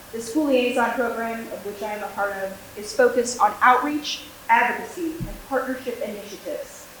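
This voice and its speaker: Amid noticeable background noise and audible room echo, a woman talks at a fairly quick pace. Her pitch is fairly high, with ordinary pitch variation. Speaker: school liaison officer, former teacher. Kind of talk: formal prepared speech at a school board meeting. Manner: loud projected teacher voice.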